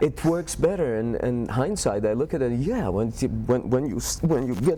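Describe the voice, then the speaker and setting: Over noticeable background noise, a man with a non-native accent speaks at medium pitch with lively intonation. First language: not English. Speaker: film actor. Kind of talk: interview. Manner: halting.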